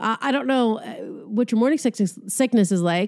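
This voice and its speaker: The tone is animated. Intonation rises and falls in a lively way. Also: woman, very clean recording, silent background. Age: 40s. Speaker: comedian and podcaster. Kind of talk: casual solo monologue.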